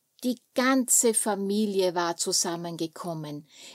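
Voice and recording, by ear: Over a quiet background, a passage is read aloud in a natural voice.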